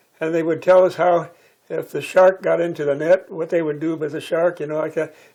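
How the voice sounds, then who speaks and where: Talking at a fairly quick pace, a high-pitched man keeps to a monotone, flat intonation. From Hawaii, Kauai (Waimea). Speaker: retired engineer recounting local history. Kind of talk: oral history interview.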